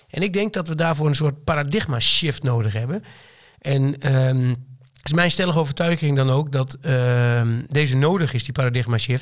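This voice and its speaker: Somewhat breathy and fairly high in pitch, a man with a slight Twente accent speaks with ordinary pitch variation. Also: moderate pace. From Twente, eastern Netherlands. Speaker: company director. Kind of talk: casual interview conversation. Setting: studio.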